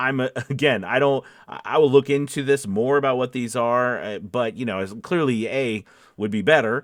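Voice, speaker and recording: This is an ordinary speaking voice from a man at a medium pitch, with ordinary pitch variation. He goes at a moderate pace on a very clean recording with a silent background. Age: 40s. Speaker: voice actor. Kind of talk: casual talk to camera. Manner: upbeat.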